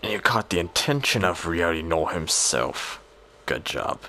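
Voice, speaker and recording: Clear background noise runs behind a man doing a put-on character voice. He pitches it very deep and low. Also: moderate pace. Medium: machinima. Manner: dry, sardonic.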